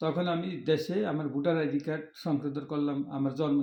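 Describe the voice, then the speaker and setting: A man's fairly high voice in a monotone, flat delivery. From Bangladesh, Faridpur Rajbari. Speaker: migrant worker. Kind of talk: interview testimony.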